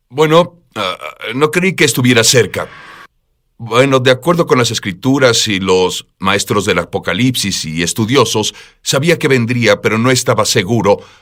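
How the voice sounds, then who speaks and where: The voice has lively intonation and a fairly slow pace. The recording is very clean, with a silent background. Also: man, medium pitch for a man. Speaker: preacher. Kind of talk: interview. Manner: urgent.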